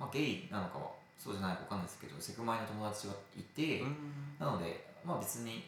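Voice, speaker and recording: Talking at a very fast pace, a man with a fairly low-pitched voice makes very wide pitch swings, with audible room echo and noticeable background noise. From provincial Japan. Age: 20s. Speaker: office worker. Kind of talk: casual interview chat.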